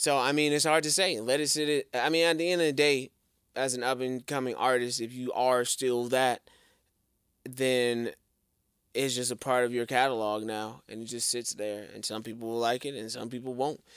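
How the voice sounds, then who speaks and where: Recorded very cleanly against a silent background, a man speaks at a medium pitch and a moderate pace. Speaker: music podcast co-host. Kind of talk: casual chat. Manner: animated.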